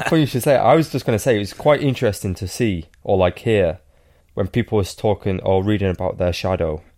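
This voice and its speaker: A man with a dark, mellow tone and fairly low pitch speaks at a fairly quick pace with lively intonation. The recording is very clean, with a silent background. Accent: Welsh. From Wales. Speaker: professional cyclist. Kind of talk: casual chat.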